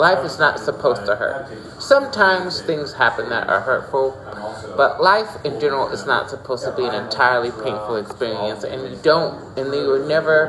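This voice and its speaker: Over noticeable background noise, a man talks in a fairly high pitch with lively intonation. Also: moderate pace. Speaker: tarot reader. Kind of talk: tarot reading. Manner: halting.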